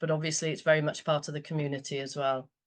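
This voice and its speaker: This woman's pitch is very deep and low. Her intonation is monotone and flat. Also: quiet background. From Wales. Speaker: community group volunteer. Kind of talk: presentation. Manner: halting, many fillers.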